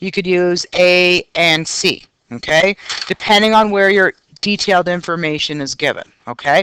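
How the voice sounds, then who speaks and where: A woman speaks in a normal speaking voice at a medium pitch. The sound is dry and close, with no echo. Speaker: math teacher. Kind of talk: recorded lesson.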